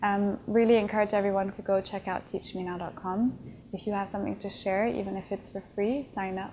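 A dark, mellow tone moves at a fairly quick pace over light background noise. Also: woman. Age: 20s. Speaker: tech startup founder. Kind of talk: interview. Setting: conference event. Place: home room. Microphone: lapel.

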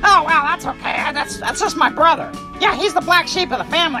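A man's cartoonish character voice, extremely high-pitched and fairly quick, over clear music in the background. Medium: puppet. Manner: silly, stammering.

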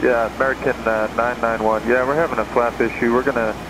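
A man talks at a very fast pace in a dry sound with no echo, with noticeable background noise behind him. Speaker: airline pilot on radio. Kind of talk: air traffic radio exchange. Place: plane.

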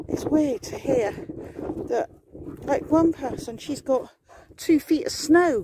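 The speech moves at a very slow pace. The sound is dry with no echo, over noticeable background noise. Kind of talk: casual vlog chat. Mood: relaxed, chatty. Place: open country. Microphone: phone near.

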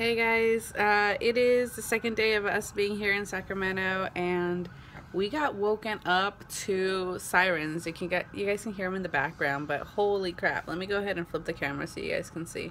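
Light background noise sits under a woman's voice. She speaks at a moderate pace with ordinary pitch variation. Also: hardly any pauses. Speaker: vlogger. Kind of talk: casual vlog chat. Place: home room. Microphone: phone near.

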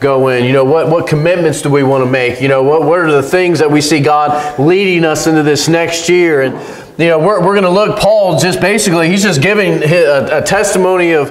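With audible room echo, a man talks at a fairly quick pace and ordinary pitch variation. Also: hardly any pauses. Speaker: pastor. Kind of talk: sermon. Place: church. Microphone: podium.

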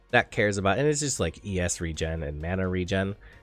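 With music in the background, a man speaks in a fairly low voice at a moderate pace. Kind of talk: game tutorial narration. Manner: casual.

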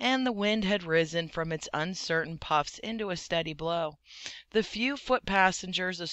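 The speaker reads aloud plainly with ordinary pitch variation.

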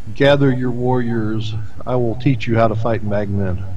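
A man performs a put-on character voice at a moderate pace. Background noise is clearly audible. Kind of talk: Draconic.

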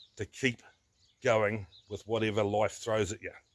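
A man is speaking. He talks at a moderate pace. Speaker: tractor owner vlogger. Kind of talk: casual vlog chat. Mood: reflective, folksy humour. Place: open country. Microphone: phone near.

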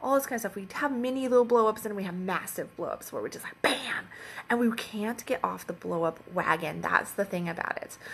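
Her words come at a fairly quick clip as this woman talks. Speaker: relationship coach. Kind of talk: casual vlog chat. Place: home room. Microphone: phone near.

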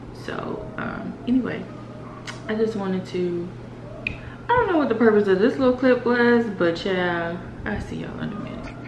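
A woman speaks at a moderate pace with ordinary pitch variation and big swings in loudness while faint music plays behind her. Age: 40s. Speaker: lifestyle vlogger; vlogger. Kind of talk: casual vlog monologue. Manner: animated. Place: home room. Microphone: phone near.

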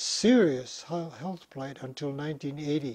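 Against a quiet background, a man with a Hawaiian accent speaks very slowly in a dark, mellow tone at a fairly high pitch, with ordinary pitch variation. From Hawaii, Honolulu (Kaimuki). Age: 90s. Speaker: retired physician and professor; professor. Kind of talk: interview. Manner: halting. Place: home room.

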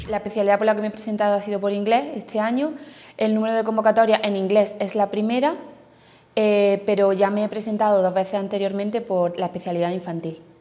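Fairly even intonation carries a woman's dark, mellow voice. She talks at a very fast pace. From Andalusia, Spain (Jaén). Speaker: newly qualified primary school teacher. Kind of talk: testimony. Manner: halting. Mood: relaxed, positive. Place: classroom.

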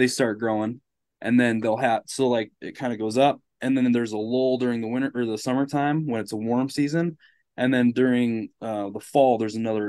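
A man's dark, mellow voice at a fairly quick pace, with fairly even intonation against a quiet background. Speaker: podcast guest. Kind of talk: casual explanatory conversation. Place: home room.

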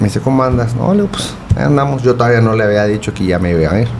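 A man with a fairly low voice talks at a very fast pace over noticeable background noise. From Ciudad Juárez, Chihuahua, northern Mexico; Chihuahua, Mexico. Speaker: goalkeeper coach. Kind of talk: casual interview. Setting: studio. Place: studio. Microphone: studio mic.

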